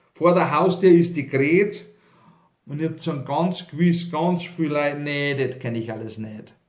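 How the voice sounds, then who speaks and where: A man with a Bavarian accent and a fairly high pitch talks at a fairly slow pace, with ordinary pitch variation and big swings in loudness. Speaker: cabaret artist and author. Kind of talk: humorous dialect poetry reading.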